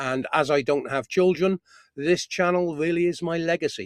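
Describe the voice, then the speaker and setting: Talking fairly slowly, a man has a British accent. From UK. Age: 60s. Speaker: appliance repair engineer. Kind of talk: live stream Q&A. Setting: in a parked camper van.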